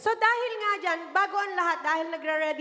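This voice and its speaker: A woman speaks with lively intonation. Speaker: variety show host. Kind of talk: live show hosting.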